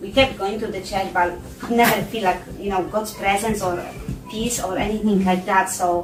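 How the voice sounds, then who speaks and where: A woman at medium pitch and a moderate pace, fairly even in intonation, with audible room echo and music in the background. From Poland. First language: Polish. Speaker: church member giving testimony. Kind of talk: testimony. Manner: halting, many fillers.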